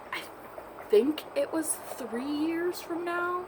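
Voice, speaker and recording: A woman speaks at a very slow pace. Noticeable background noise runs behind her. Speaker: vlogger. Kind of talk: casual chat. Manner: quiet.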